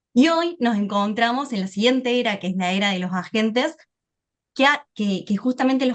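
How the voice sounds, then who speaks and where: A woman's fairly high voice moves at a moderate pace, its pitch varying in an ordinary way. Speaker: AI business speaker. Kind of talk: webinar presentation.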